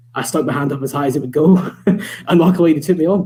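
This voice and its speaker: Over noticeable background noise, a man with a Scottish accent speaks at a very fast pace with fairly even intonation. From Scotland, Scottish Borders. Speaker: motorsport journalist. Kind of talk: casual chat. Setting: live online show.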